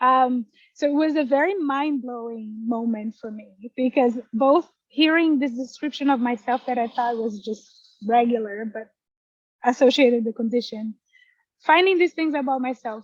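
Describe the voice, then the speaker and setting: Someone with a Portuguese accent speaks at a moderate pace, with ordinary pitch variation, big swings in loudness, and a dry, close sound with no echo. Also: woman, high pitch for a woman. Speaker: poet. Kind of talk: interview. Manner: halting.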